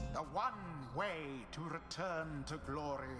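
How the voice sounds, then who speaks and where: Over loud background music, a man does a put-on character voice, fairly high in pitch and at a fairly slow pace. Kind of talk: solemn pronouncement. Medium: game stream. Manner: formal, archaic.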